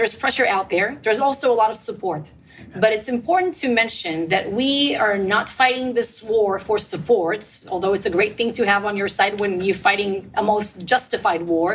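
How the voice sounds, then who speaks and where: A woman talks at a moderate pace with ordinary pitch variation in a fairly high voice. Noticeable background noise runs underneath. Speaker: government spokesperson. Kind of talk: panel discussion.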